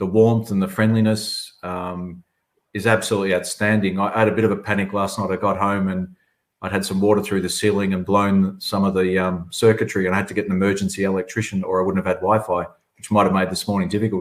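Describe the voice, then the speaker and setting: With an Australian accent, a man speaks at a very fast pace, his fairly low pitch held in a monotone, flat intonation. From southern Australia. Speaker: chief executive of a public agency. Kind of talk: webinar panel answer. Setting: online webinar.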